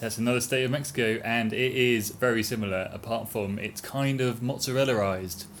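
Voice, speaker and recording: A man's medium-pitched voice at a fairly slow pace with hardly any pauses and fairly even intonation, amid audible room echo and noticeable background noise. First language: English (speaking Spanish). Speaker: cycle-touring podcast host. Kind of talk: casual chat.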